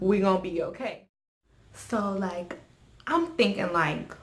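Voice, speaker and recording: Noticeable background noise and audible room echo surround the speaker. A woman talks fairly slowly with ordinary pitch variation. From US, West Indian household. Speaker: YouTuber. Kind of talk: storytelling.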